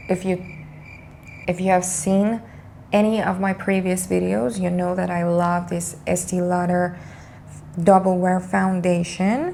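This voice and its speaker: Pausing long and often, a woman talks at a fairly slow pace with fairly even intonation. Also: medium pitch for a woman. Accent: non-native. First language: not English. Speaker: beauty youtuber. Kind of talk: makeup tutorial. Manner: hesitant, many fillers.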